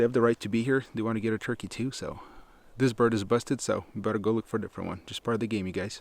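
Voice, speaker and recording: A man with a medium pitch talks quietly at a very fast pace. His intonation stays fairly even. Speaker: hunting vlogger. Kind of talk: outdoor vlog narration. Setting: outdoors. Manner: hushed.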